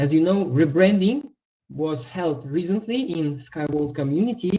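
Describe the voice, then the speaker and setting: A man's high, dark, mellow voice with a non-native accent, very wide pitch swings and a fairly slow pace. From Uzbekistan. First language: not English. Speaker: webinar presenter, investment trainer. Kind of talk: online webinar presentation. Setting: online webinar.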